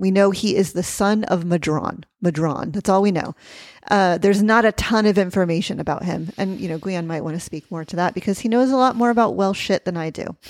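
A woman's medium-pitched voice moves at a fairly quick pace with ordinary pitch variation. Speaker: witchcraft teacher and podcast host. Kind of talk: angry rant, soapbox tirade on a pet peeve. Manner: heated, scornful, emphatic.

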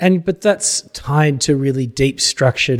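Somewhat breathy speech with an Australian accent, lively intonation and a moderate pace, in a dry, close sound with no echo and a very clean recording with a silent background. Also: man. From Australia, Gippsland, Victoria. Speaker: history professor. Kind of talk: casual interview. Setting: studio.

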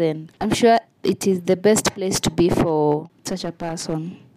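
A woman speaks very slowly in a Kenyan accent, her pitch fairly low and her tone dark and mellow. Her intonation stays fairly even. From Kenya, Nairobi. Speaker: travel storyteller. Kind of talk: travel narration.

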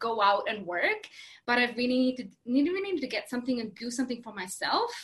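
With a Latvian accent, this voice has a bright, sharp tone, lively intonation and a fairly quick pace. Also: woman. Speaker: craft workshop business owner. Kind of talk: interview. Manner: halting, many fillers.

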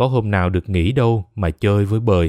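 A man talks in a normal speaking voice at a fairly low pitch, on a very clean recording with a silent background and a dry, close sound with no echo. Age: 20s. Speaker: podcast narrator. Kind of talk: scripted narration.

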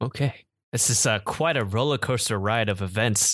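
A plain, everyday voice is heard here. The pace stays moderate. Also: man. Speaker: podcast host. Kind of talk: casual chat. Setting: video call.

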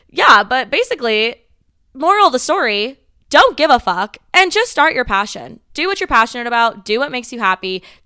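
In a General American accent, a woman with a bright, sharp, fairly high voice speaks at a moderate pace with very wide pitch swings. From US West, Las Vegas, Nevada. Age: 20s. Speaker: podcast host. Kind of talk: casual monologue.

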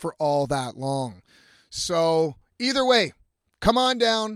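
A man speaks loudly with lively intonation. The sound is dry and close with no echo, on a very clean recording with a silent background. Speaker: podcast host and musician. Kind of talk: casual monologue. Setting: in a camper van by the road.

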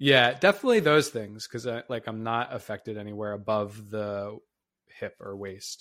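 On a very clean recording with a silent background, a man talks at a moderate pace in a normal speaking voice of medium pitch. His intonation is fairly even, though his loudness swings widely. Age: 30s. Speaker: exercise science professor and podcast co-host. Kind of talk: casual educational podcast discussion.

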